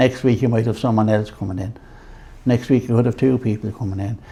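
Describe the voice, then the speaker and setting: With an Irish accent, a man speaks at a medium pitch. His intonation stays fairly even. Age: 70s. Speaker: men's shed organiser. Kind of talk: interview.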